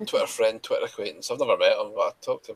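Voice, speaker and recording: A man with a Scottish accent, extremely high pitch and monotone, flat intonation, in a dry, close sound with no echo. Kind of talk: casual chat.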